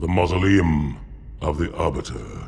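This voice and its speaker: A man uses a put-on character voice with a very deep, low pitch at a moderate pace. Light background noise sits underneath. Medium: short film.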